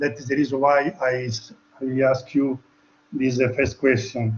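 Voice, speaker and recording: This man has a non-native accent. His pace is fairly slow. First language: not English. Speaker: webinar attendee asking a question. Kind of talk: audience question. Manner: halting.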